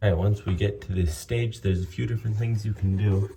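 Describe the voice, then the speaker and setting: The tone is dark and mellow, with a somewhat breathy quality. Pitch moves in an ordinary way. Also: man. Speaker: home repair tradesman. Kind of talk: tutorial. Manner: casual, with fillers.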